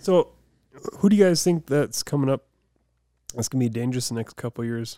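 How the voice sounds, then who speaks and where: A man with a medium pitch and a dark, mellow tone speaks with lively intonation. The sound is dry and close, with no echo. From Deadwood, South Dakota. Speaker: motocross rider, former rodeo competitor. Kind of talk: casual chat.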